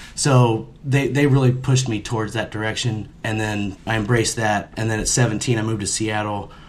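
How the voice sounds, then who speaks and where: Here is an ordinary speaking voice from a man with an American accent, pitched at a medium level. He keeps a moderate pace with fairly even intonation and hardly any pauses. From US Midwest. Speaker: mural and sign painter. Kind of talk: casual chat.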